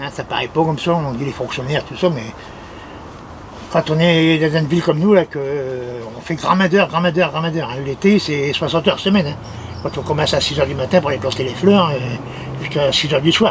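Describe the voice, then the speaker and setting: Noticeable background noise is present throughout. A man talks at a fairly quick pace over it. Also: fairly high pitch for a man, ordinary pitch variation. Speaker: municipal gardener. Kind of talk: casual talk to camera.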